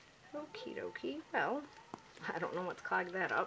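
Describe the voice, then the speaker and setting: Female speaker amid noticeable background noise. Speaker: home soap maker. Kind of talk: tutorial. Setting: at home. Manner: soft-spoken.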